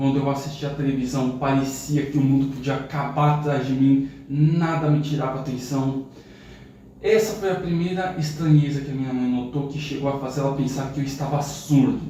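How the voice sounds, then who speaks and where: With noticeable background noise and audible room echo, a man talks at a moderate pace in a fairly high pitch and fairly even intonation. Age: 30s. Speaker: youtuber. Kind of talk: personal testimony.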